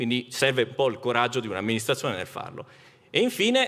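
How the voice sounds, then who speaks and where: The background stays quiet. A man does the talking. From Rome; Italy. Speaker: company executive; speaker. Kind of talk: conference panel talk. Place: stage. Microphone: handheld.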